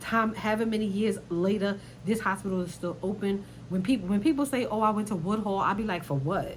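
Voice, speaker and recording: Amid noticeable background noise and audible room echo, a woman with an animated tone speaks at a fairly quick pace, at medium pitch with ordinary pitch variation. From New York, Brooklyn. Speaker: YouTuber commentator. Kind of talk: casual commentary vlog.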